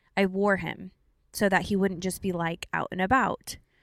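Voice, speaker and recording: A woman with an unremarkable speaking voice talks in a medium pitch with fairly even intonation. The sound is dry and close with no echo, a very clean recording with a silent background. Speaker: podcast co-host, new mother. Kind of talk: casual chat. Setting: in a car.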